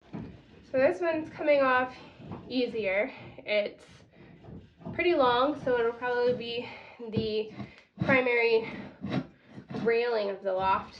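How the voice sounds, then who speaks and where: Speaking at a very slow pace with long, frequent pauses, a woman with a high pitch and ordinary pitch variation is heard amid audible room echo. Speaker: off-grid cabin builder vlogger. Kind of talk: casual vlog narration while working. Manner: casual, filler-heavy.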